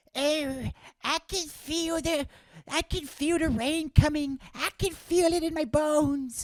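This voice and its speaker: Pitched high, this put-on character voice moves at a fairly slow pace. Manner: creaky, frail.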